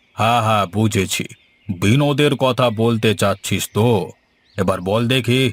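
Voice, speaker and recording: A man uses a cartoonish character voice at a medium pitch, with ordinary pitch variation. He talks at a fairly slow pace with very even loudness. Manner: authoritative.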